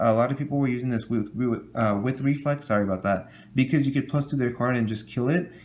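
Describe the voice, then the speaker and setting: A man's voice at a medium pitch with ordinary pitch variation. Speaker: trading card game youtuber. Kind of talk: tutorial. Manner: fast.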